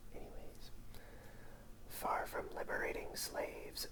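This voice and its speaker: Noticeable background noise surrounds whispered speech delivered fairly slowly. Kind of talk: ASMR book reading in a whisper. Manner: whispered, soft.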